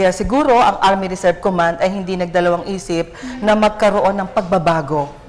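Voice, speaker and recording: A woman at medium pitch talking at a fairly quick pace over noticeable background noise. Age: 60s. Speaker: ROTC commandant and university professor. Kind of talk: TV interview.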